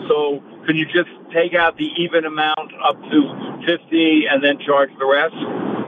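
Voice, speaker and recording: Over noticeable background noise, a man with a fairly high voice talks very slowly in a flat monotone. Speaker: caller. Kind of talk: casual phone call ordering tickets. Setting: in a car, phone call.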